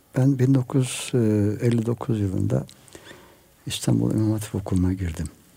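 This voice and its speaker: A man's fairly low-pitched voice at a very slow pace, with lively intonation over noticeable background noise. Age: 70s. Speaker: retired imam and author. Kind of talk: radio interview. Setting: radio studio.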